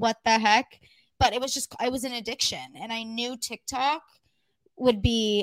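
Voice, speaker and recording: With an American accent and an unremarkable speaking voice, a woman at a fairly high pitch speaks at a moderate pace with ordinary pitch variation on a very clean recording with a silent background. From California high desert. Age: 20s. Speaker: podcast co-host. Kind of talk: casual chat.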